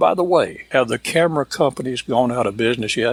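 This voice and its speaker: In a very clean recording with a silent background, a man talks at a moderate pace in a normal speaking voice, medium-pitched, with ordinary pitch variation and a dry, close sound with no echo. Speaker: cowboy storyteller and entertainer. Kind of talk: folksy humorous monologue to camera.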